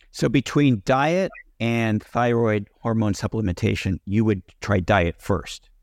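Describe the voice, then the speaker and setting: Speaking with a plain, everyday voice, a man talks at a fairly slow pace and medium pitch, with ordinary pitch variation and very even loudness. The recording is very clean and silent behind him, with a dry, close sound and no echo. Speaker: podcast host. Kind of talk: interview.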